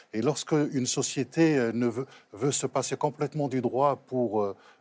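A man talks at a fairly slow pace with medium pitch and ordinary pitch variation, in a plain, everyday voice. The sound is dry and close with no echo, on a very clean recording with a silent background. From Morocco, raised in Trappes near Paris. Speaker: novelist and Islam scholar. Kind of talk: talk show discussion.

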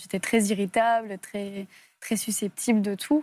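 A woman speaks fairly slowly in a monotone, flat way on a very clean recording with a silent background. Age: 20s. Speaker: abuse survivor. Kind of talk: testimony. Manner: halting.

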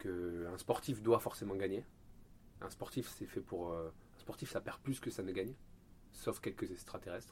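With a very deep, low voice, a man speaks at a fairly slow pace with ordinary pitch variation and long, frequent pauses. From Marseille, southern France. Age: 30s. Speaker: Olympic canoeist. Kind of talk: interview. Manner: hesitant, many repetitions.

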